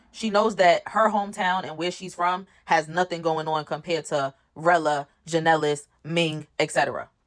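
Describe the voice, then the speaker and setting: Speaking at a moderate pace with hardly any pauses, a woman with a New York accent sounds animated, her pitch fairly low. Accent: New York City accent, recognizable. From New York City, Brooklyn. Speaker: reality TV recap content creator. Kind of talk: casual commentary recap.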